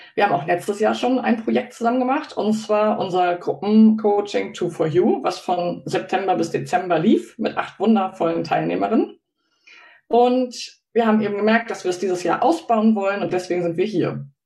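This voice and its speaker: A woman speaks with a medium pitch, vocal fry and a dark, mellow tone. Her pace is moderate and her pitch varies in an ordinary way. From Hamburg, northern Germany. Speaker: business coach and livestream co-host. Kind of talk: casual livestream chat. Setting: live video stream.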